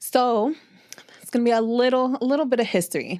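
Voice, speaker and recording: In a very clean recording with a silent background, a woman talks in a New York accent. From Brooklyn, New York. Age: 30s. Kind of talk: interview. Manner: casual.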